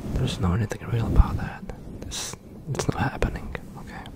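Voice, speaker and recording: A soft-spoken man's fairly quick whisper, dry with no echo, amid loud background noise. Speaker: ASMR creator. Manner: soft close-mic whisper. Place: home room. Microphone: studio mic.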